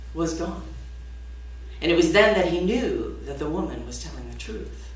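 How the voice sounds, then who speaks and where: Speaking with an American accent at a moderate pace, a woman can be heard through noticeable background noise. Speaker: storyteller. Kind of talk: live folktale storytelling performance to an audience. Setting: live concert stage.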